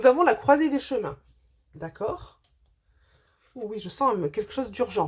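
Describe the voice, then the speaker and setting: Very wide pitch swings mark a woman's fairly high voice. The recording is very clean, with a silent background. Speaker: spiritual medium doing card readings. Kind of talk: tarot-style oracle reading to camera. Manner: fast; hesitant, many fillers.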